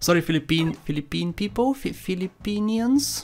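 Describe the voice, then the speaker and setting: Someone with a Bulgarian accent speaks at a moderate pace with music in the background. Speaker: gaming YouTuber. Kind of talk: gameplay commentary. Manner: casual, joking.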